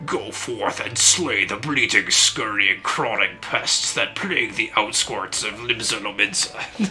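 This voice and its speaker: A man puts on a character voice and speaks at a fairly slow pace. Clear background noise is present. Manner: menacing, emphatic.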